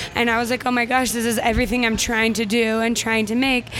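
A woman's fairly high, monotone, flat voice with an American accent, fairly quick, over noticeable background noise. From Utah, Orem. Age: 20s. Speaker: singer. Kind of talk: casual chat. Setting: recorded in a cafe.

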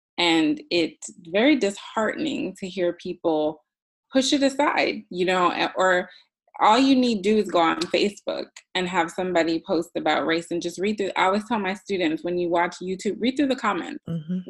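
Speaking in a normal speaking voice with an American accent, a woman uses a medium pitch, moderate pace, and lively intonation. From US, Jamaican parents. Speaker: guest. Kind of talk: casual chat.

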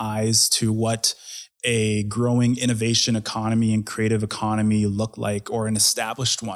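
A man with a Canadian accent has an unremarkable speaking voice, medium in pitch and moderate in pace. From Edmonton, Canada. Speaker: festival founder and tech executive. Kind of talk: interview conversation.

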